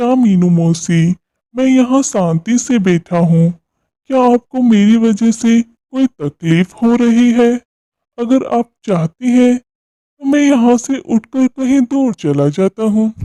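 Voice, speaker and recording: This cartoonish character voice has a fairly high pitch. It moves at a fairly slow pace. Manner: mild, innocent.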